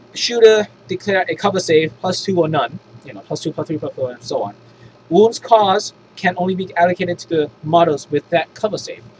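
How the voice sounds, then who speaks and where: Sounding enthusiastic, a man talks fast-ish at a high pitch, with big swings in loudness and ordinary pitch variation over noticeable background noise. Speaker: tabletop gaming YouTuber. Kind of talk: unscripted rulebook review. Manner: halting, many false starts; casual, enthusiastic.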